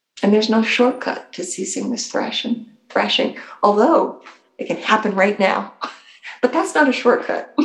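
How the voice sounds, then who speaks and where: With music in the background, a woman speaks at a moderate pace, her fairly high voice carrying lively intonation. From Portuguese-American family. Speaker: Zen priest. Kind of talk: dharma talk. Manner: animated.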